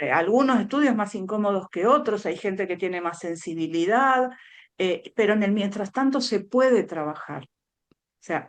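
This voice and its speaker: Speaking in a Buenos Aires accent, a woman uses a medium pitch and lively intonation at a moderate pace. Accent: Rioplatense Spanish, Buenos Aires. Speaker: speech therapist. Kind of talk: interview.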